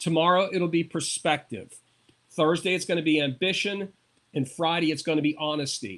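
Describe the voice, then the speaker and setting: A man speaks in an ordinary speaking voice at a fairly high pitch. His pitch variation is ordinary and his pace moderate. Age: 60s. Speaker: motivational speaker and comedian. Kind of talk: interview.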